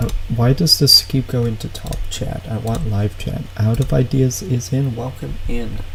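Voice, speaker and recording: A man's medium-pitched voice at a fairly slow pace with ordinary pitch variation, against noticeable background noise. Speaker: streamer reacting to videos. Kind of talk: casual live stream chat. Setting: live stream. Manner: loud.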